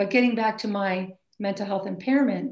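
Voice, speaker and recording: Moderate pace and ordinary pitch variation from a woman with an American accent, a medium-pitched voice and vocal fry. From Maine, US. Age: 50s. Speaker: basketball coach. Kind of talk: interview. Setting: call.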